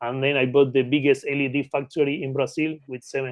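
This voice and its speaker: A man with an Argentine accent talks at a fairly quick pace and a fairly high pitch. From Argentina (Patagonia). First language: Spanish. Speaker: mergers and acquisitions consultant. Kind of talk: podcast interview. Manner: halting, with fillers and repetitions.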